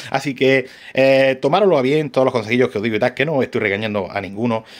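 Over a quiet background, a man with an Andalusian accent speaks at a very fast pace with ordinary pitch variation. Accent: Andalusian, Granada. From Andalusia, Spain. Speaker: RC hobby shop owner and YouTuber. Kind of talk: casual vlog talk to camera; casual vlog chat. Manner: hesitant, many fillers and restarts. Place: workshop. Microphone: phone near.

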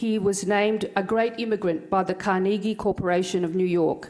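A woman at a medium pitch uses a normal speaking voice with fairly even intonation. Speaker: event presenter. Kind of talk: formal introduction. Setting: stage with audience.

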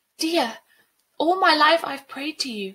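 Using a put-on character voice, a woman talks at a slow pace with high pitch, a bright, sharp tone and lively intonation.

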